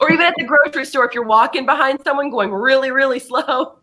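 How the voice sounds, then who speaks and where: A woman speaks very fast in a raised, projected voice with a bright, sharp tone. Her pitch is high, with ordinary pitch variation. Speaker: discussion leader. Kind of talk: group discussion.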